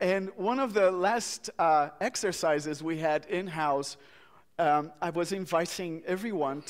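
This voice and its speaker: In a very clean recording with a silent background, a man with a Portuguese accent speaks fairly slowly at a high pitch with ordinary pitch variation. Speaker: minister. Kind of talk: eulogy at memorial service. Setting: church memorial service.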